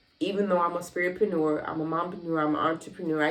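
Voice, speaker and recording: Over noticeable background noise, a woman with an American accent speaks at a fairly low pitch with fairly even intonation. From US South, Miami. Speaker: lifestyle vlogger and entrepreneur. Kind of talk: casual vlog monologue.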